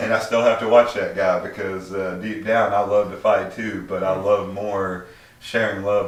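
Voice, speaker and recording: A man's fairly low voice at a moderate pace, with audible room echo and noticeable background noise. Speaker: livestream host. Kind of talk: casual chat. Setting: livestream from a home smoke room. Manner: stutters when flustered.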